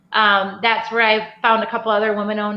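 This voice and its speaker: A woman's fairly high voice at a fairly quick pace, with audible room echo. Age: 40s. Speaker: craft distillery owner. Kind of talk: casual chat. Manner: animated.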